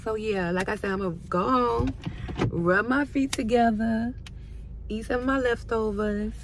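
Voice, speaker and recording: A woman's fairly high-pitched voice with lively intonation at a moderate pace, over noticeable background noise. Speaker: lifestyle vlogger. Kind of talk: casual vlog talk. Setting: at home. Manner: stutters.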